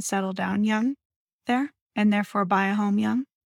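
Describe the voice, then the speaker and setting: An ordinary speaking voice from a woman with ordinary pitch variation, dry and close with no echo, on a very clean recording with a silent background. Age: 30s. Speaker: real estate podcast co-host. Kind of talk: casual chat.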